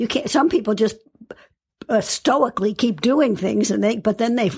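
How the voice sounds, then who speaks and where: Lively intonation marks this woman's fairly high voice, which has vocal fry and moves at a moderate pace. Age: 80s. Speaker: psychologist and author. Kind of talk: interview conversation.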